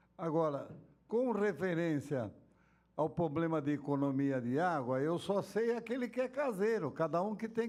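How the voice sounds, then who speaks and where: Very wide pitch swings mark this man's high voice. His pace is fairly slow. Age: 70s. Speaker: city councillor. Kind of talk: council hearing remarks. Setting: council chamber.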